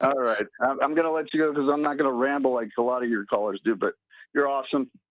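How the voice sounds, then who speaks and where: Talking at a very fast pace, a man with a fairly high pitch keeps his loudness very even and his pitch variation ordinary, recorded dry and close with no echo. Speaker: caller. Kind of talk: phone-in call. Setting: phone call.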